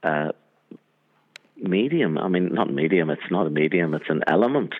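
A man is speaking. He has a Northern Irish accent. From Northern Ireland, Armagh. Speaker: cinematographer. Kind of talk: interview.

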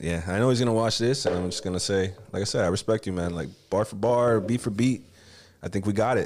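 With a Miami accent, a man speaks at a very fast pace and fairly low pitch with ordinary pitch variation. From Miami, Florida (Kendall), Cuban-American family. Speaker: rapper. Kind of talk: casual chat.

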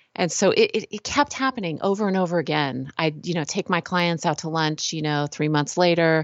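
With an American accent, a woman with a fairly low pitch and an ordinary speaking voice talks in lively intonation with hardly any pauses. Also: fairly quick pace. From California. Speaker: author and healthcare design expert. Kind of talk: casual interview.

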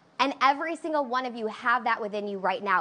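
Her voice sits high for a woman and carries a bright, sharp tone. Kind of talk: pep talk. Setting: online livestream. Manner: hyped, call-and-response, shouting.

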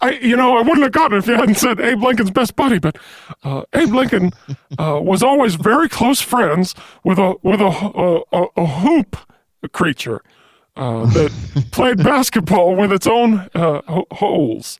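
In a put-on character voice, the speaker goes at a fairly slow pace with a fairly high pitch and long, frequent pauses. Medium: comedy sketch. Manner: slow, earnest, dopey.

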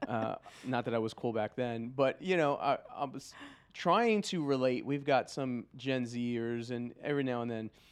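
This man has a normal speaking voice at a medium pitch with ordinary pitch variation. He talks at a moderate pace against a quiet background. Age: 40s. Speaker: podcast co-host, pastor. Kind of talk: casual chat.

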